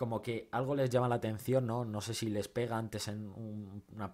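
A man talks at a moderate pace with ordinary pitch variation and an animated tone. The background is quiet. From Spain. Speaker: film YouTuber. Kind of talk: film review monologue. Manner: halting, many repetitions and fillers; casual, animated. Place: home room.

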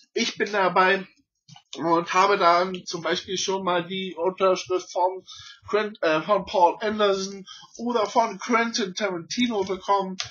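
This man talks at a fairly slow pace in a high pitch. His intonation stays fairly even. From Berlin, Germany. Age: 30s. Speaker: YouTuber and collector. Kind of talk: channel intro, casual unscripted talk. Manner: halting, many fillers and slips. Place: home room. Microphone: webcam.

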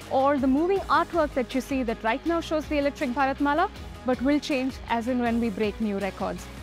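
A woman's voice with ordinary pitch variation, clear music in the background, and a dry sound with no echo. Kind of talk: guided tour presentation. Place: factory.

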